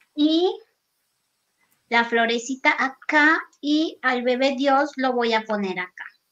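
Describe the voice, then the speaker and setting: With a Mexican accent, a woman speaks at a very slow pace with long, frequent pauses, her high pitch and bright, sharp tone carried by lively intonation over a quiet background. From Mexico, Guerrero (near Acapulco). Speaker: craft artist; craft instructor. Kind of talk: live craft demo. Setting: video call from her workshop.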